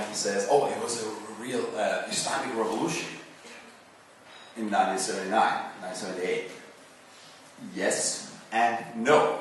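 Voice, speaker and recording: A man at a moderate pace, amid audible room echo and noticeable background noise. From Iran. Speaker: invited seminar speaker. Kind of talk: public talk. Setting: seminar hall with audience.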